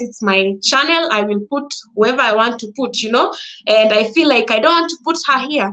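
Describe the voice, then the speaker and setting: With a Kenyan accent, a woman speaks in a raised, projected voice, her bright, sharp tone carried by lively intonation. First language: Swahili or a Kenyan language. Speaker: content creator. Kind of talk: live talk to audience. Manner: halting.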